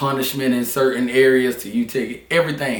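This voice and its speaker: With a Southern US accent, a man of medium pitch speaks at a fairly quick pace. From Charlotte, North Carolina. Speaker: barber. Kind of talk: interview answer.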